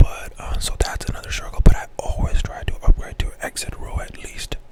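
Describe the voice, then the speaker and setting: Whispering at a moderate pace, a man sounds breathy against noticeable background noise. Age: 20s. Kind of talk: casual talk to camera. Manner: whispered, breathy.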